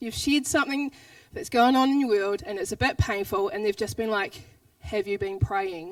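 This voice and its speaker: With a New Zealand accent, a woman talks at a fairly quick pace. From New Zealand, Southland. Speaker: pastor. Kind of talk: sermon. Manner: fast.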